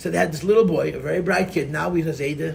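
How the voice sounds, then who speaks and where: An American accent with audible room echo. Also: man. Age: 50s. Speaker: rabbi and Chassidus teacher. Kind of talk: lecture. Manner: animated.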